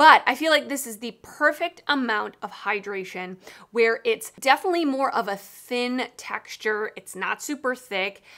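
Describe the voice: The voice has a bright, sharp tone and lively intonation. It moves at a moderate pace with few pauses. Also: woman, fairly high pitch for a woman.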